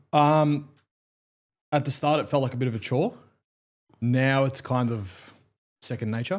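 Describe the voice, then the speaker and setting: Delivered at a moderate pace with ordinary pitch variation, the speech is broken by long, frequent pauses. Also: man, medium pitch for a man. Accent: Australian. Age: 20s. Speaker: lawyer. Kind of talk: casual chat.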